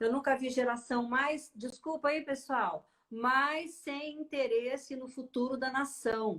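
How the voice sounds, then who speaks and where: A woman's high-pitched voice at a very slow pace, with hardly any pauses and fairly even intonation. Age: 60s. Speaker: journalist and interview show host. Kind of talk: casual interview chat.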